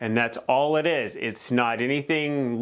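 Fairly slow, fairly even speech from a man against a quiet background. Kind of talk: tutorial. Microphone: lapel.

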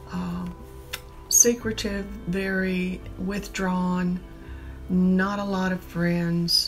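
A woman with an American accent, faint music in the background. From Augusta, Georgia, USA. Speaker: documentary interviewee. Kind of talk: documentary interview answer. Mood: somber, reflective. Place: home room. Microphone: lapel.

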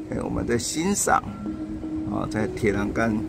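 A man speaks over noticeable background noise. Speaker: local news reporter. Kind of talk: casual talk to camera. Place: home room. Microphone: phone near.

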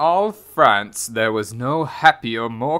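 Lively intonation over plain reading aloud

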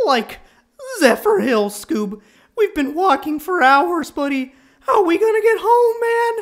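A put-on character voice, extremely high in pitch, with very wide pitch swings and a fairly slow pace. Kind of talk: comic dub. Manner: drawling, casual.

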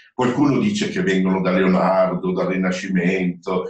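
Audible room echo surrounds a man with a very deep, low pitch who speaks at a moderate pace with fairly even intonation. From Italy. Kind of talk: webinar presentation. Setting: online webinar. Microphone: video call.

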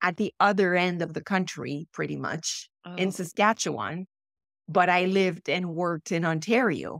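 Against a quiet background, a woman with a fairly low pitch speaks at a moderate pace with ordinary pitch variation and a dry sound with no echo. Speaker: podcast guest. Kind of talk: interview answer. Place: home room.

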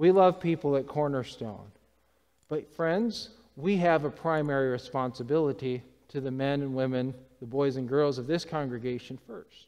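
A plain, everyday voice from a man with a fairly high pitch and ordinary pitch variation. He talks at a moderate pace against a quiet background. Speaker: preacher. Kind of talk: sermon. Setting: church. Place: church.

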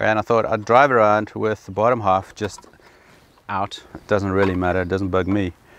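A man with an unremarkable speaking voice, fairly low in pitch, at a moderate pace, dry with no echo over light background noise. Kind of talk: casual vlog tutorial. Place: car. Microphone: phone near.

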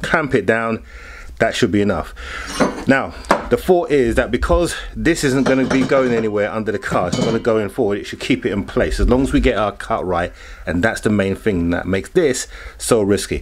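Noticeable background noise sits behind this speaker. He is a man talking at a fairly quick pace. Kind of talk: tutorial. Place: garage. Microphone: camera far.

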